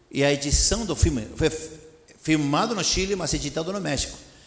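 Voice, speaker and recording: Talking at a fairly quick pace with lively intonation, a man with a Spanish accent and a fairly high pitch is heard through audible room echo and noticeable background noise. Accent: Spanish-accented Portuguese (portunhol). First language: Spanish (speaking Portuguese). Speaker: missionary preacher. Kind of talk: sermon. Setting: church. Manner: animated.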